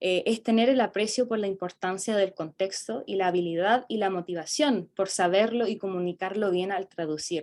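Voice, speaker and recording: A woman with a South American accent speaks at a moderate pace and medium pitch, with hardly any pauses. Her pitch variation is ordinary, and the recording is very clean with a silent background. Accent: South American Spanish, uncommon locally. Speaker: student presenter. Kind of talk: academic conference presentation. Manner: halting, many fillers.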